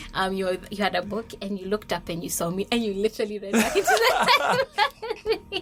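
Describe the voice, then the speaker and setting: Through noticeable background noise, a woman talks at a very fast pace with ordinary pitch variation. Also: medium pitch for a woman. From Kenya (Nairobi). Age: 20s. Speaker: podcast guest. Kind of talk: casual interview chat. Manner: loud.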